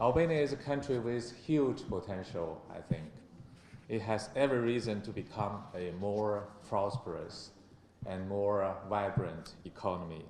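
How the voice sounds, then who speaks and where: In a room with audible echo, a man speaks with a Chinese accent at a fairly slow pace. His pitch is fairly low and varies in an ordinary way. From China. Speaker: ambassador. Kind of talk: formal speech. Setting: conference with audience.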